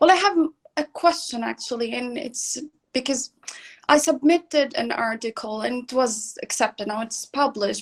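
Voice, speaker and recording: A woman with a high-pitched voice speaks at a fairly slow pace. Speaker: PhD student. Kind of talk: audience question. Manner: halting.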